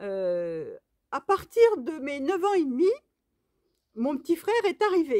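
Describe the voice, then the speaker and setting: Very slow speaking from a woman, her pitch swinging very widely. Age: 60s. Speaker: knitting vlogger. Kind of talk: casual vlog monologue. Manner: hesitant, many fillers.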